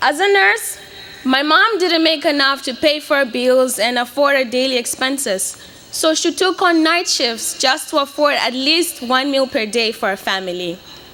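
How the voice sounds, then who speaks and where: Over noticeable background noise, a woman uses a raised, projected voice at a high pitch. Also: lively intonation, moderate pace. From Mozambique (Beira). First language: Portuguese. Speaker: graduating student speaker. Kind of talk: commencement speech. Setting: stage with audience.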